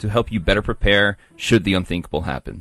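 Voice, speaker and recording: This man has a normal speaking voice at a fairly low pitch. He talks at a fairly quick pace. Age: 20s. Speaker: radio producer. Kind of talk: casual chat.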